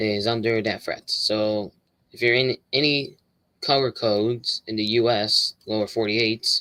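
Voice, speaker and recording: Fairly slow and monotone, the voice has a bright, sharp tone and a dry, close sound with no echo. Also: man. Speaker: weather livestreamer. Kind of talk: live stream weather update. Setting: live stream. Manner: casual, halting with fillers.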